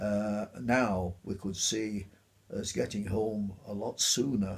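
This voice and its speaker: A man talks in a Yorkshire accent with ordinary pitch variation. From Otley, Yorkshire. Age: 80s+. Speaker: war veteran. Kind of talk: interview answer. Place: home room.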